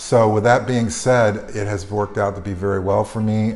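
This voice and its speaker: With an American accent, a man talks at a moderate pace in a fairly low voice. His intonation is monotone and flat, and audible room echo surrounds it. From North Carolina, Greensboro. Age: 60s. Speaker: retired healthcare consultant. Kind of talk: testimonial interview. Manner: halting, many fillers.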